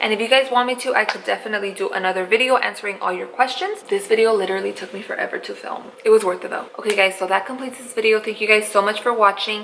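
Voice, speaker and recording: A woman speaks at a very fast pace in an animated tone, with hardly any pauses and a fairly high pitch. Her loudness swings widely over noticeable background noise. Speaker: beauty vlogger and small business founder. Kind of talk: casual vlog tutorial.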